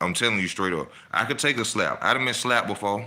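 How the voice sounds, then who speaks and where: Man with an animated, bright, sharp tone, vocal fry and a fairly quick pace. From Alabama, Birmingham. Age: 40s. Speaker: boxing commentator, online channel host. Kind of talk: casual monologue, ranting.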